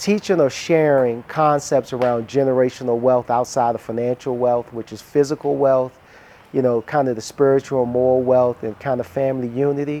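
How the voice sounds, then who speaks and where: Talking at a fairly quick pace with an American accent, a man has an unremarkable speaking voice at medium pitch and fairly even intonation. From US, Washington DC. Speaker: relocated entrepreneur. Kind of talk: casual interview and home tour. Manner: relaxed, frequent fillers.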